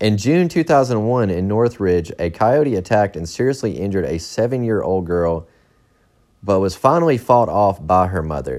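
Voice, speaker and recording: This man uses a normal speaking voice with lively intonation. He talks at a moderate pace. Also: fairly low pitch for a man. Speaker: podcaster reading Wikipedia articles. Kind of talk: casual true-crime reading of a Wikipedia article, with profane asides. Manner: casual, irreverent.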